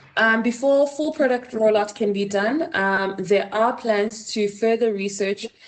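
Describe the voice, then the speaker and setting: A woman speaks at a fairly slow pace. Her fairly high voice carries a Botswana accent. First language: Setswana. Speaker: design researcher. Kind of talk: conference presentation. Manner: hesitant with frequent fillers.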